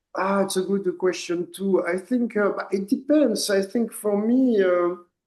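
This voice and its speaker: In a French accent, a man with a high voice talks at a fairly slow pace with ordinary pitch variation. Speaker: poet and artist. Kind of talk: interview. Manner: halting, repeats words.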